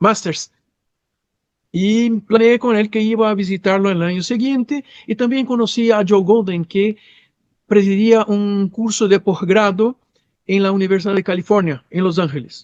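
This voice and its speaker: A man with a Brazilian accent talks at a fairly slow pace in a high pitch. The sound is dry and close with no echo, and his pitch varies in an ordinary way. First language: Portuguese (speaking Spanish). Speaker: psychologist and sex therapist. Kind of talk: interview conversation. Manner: halting with repetitions.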